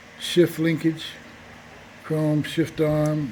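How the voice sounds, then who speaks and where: Amid noticeable background noise, a man speaks at a very slow pace in a fairly high pitch, his intonation flat and monotone. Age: 60s. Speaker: motorcycle seller. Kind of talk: casual walkaround sales video. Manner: halting, many fillers.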